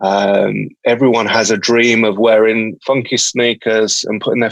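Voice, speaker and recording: At a fairly slow pace, a man with a medium pitch speaks in a dry, close sound with no echo. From England, Birmingham. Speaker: company founder. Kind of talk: podcast interview. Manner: halting, many fillers.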